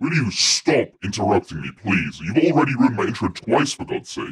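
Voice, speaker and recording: Putting on a raspy character voice, a man at medium pitch moves at a fairly quick pace with very wide pitch swings. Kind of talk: put-on, overdone. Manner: irritated, annoyed at interruption.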